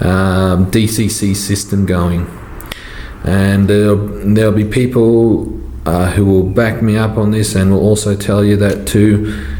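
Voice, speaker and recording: In an Australian accent, a man speaks at a fairly slow pace in a fairly low pitch, with very even loudness and fairly even intonation. Noticeable background noise and audible room echo are present. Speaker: model train hobbyist YouTuber. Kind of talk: tutorial Q&A. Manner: halting, many fillers.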